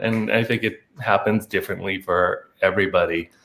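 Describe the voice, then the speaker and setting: At a moderate pace, a man speaks with a Chinese accent in a fairly low pitch. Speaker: lighting designer. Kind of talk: casual chat. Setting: video call. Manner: halting.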